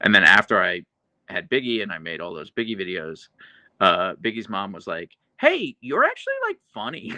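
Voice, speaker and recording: The recording sounds dry and close, without any echo. A man talks at a moderate pace. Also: quiet background. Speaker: YouTuber live streamer. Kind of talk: live stream chat reading. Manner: dry delivery.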